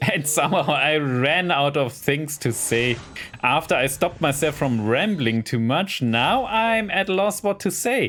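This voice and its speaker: The speaker has a German accent and a fairly slow pace, with very wide swings in pitch. Loudness stays very even throughout. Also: man, fairly high pitch for a man. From Germany. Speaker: gaming YouTuber. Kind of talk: casual gameplay commentary. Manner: rambling, hesitant.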